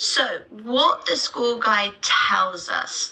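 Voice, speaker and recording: A woman speaks with a British accent. There is noticeable background noise. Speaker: teacher trainer. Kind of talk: webinar. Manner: unscripted, with pauses and fillers.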